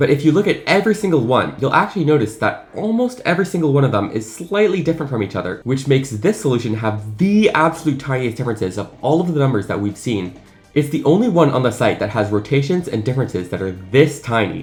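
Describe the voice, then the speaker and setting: Music plays behind a man who talks very fast with hardly any pauses, his fairly high voice enthusiastic and swinging very widely in pitch. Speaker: math video creator. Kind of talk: unscripted casual explainer video.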